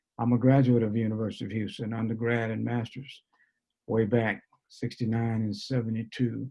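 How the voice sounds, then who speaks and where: The speaker has a New Orleans accent and a monotone, flat intonation. The pace is fairly quick. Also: man, medium pitch for a man. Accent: New Orleans Southern US. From US South, New Orleans. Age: 70s. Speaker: basketball coach and mentor. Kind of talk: panel discussion. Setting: video call.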